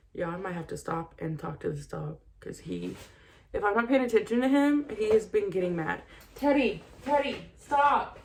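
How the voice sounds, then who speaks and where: Noticeable background noise runs throughout. A woman talks at a fairly slow pace. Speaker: makeup vlogger and podcast host. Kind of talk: tutorial. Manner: casual, chatty.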